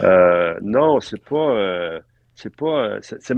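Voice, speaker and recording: Very slow and with lively intonation, a man speaks. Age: 60s. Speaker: film art director. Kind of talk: interview conversation. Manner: halting with many fillers.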